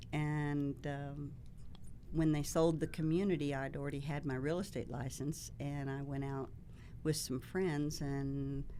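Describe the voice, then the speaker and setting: A woman's very deep, low voice with a dark, mellow tone and a Texas accent, monotone and flat at a fairly slow pace, in audible room echo. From Texas, Dallas. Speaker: real estate agent. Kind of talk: interview. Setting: studio.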